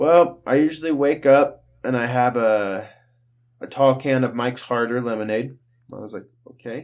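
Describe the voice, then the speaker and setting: With a normal speaking voice, a man talks at a moderate pace and medium pitch, using ordinary pitch variation and big swings in loudness. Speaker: podcast host. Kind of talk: casual banter podcast.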